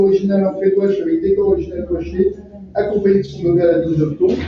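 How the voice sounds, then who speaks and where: A man speaks with a high pitch and ordinary pitch variation. The room has strong echo, with light background noise. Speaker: auction lot presenter; presenter. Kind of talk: descriptive presentation of auction lots. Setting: auction room with live and online bidders. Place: hall.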